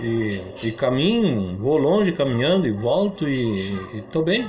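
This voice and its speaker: Amid noticeable background noise and audible room echo, a man of medium pitch speaks at a fairly slow pace, his pitch swinging very widely while his loudness stays very even. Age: 80s+. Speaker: founder of local football club, former amateur athlete. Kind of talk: interview.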